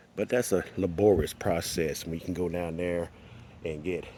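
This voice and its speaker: At a moderate pace, a man talks. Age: 60s. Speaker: gardener. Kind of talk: tutorial. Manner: casual.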